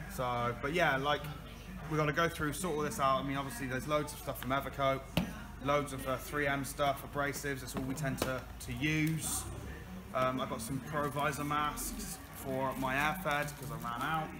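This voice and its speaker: A man talks at a moderate pace with clear music playing in the background. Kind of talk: casual vlog chat. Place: workshop. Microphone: phone near.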